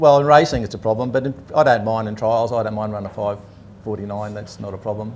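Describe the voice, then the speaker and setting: Talking at a very fast pace, a man with an Australian accent speaks in a fairly low voice. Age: 60s. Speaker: drag racing driver. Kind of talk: casual interview.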